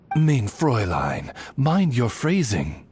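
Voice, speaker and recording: The speaker uses a put-on character voice at a low-to-middle pitch. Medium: video game. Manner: formal, courteous.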